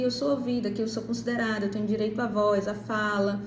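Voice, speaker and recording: Audible room echo and noticeable background noise both mark the recording. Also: woman. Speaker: parenting educator. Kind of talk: monologue to camera.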